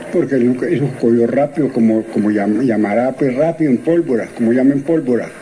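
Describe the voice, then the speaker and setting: Over noticeable background noise, a man talks at a fairly quick pace with medium pitch and ordinary pitch variation. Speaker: former cemetery worker. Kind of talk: interview. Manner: halting.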